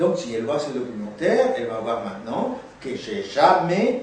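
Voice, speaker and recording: A man speaks fairly slowly with a Spanish accent and very wide pitch swings, with noticeable background noise and audible room echo. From Guatemala. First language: Spanish (speaking French). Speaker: actor and theatre teacher. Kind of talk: interview. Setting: filmed interview.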